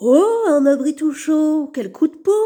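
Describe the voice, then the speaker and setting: Delivered at a fairly slow pace, the put-on character voice sits at a high pitch. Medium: read story.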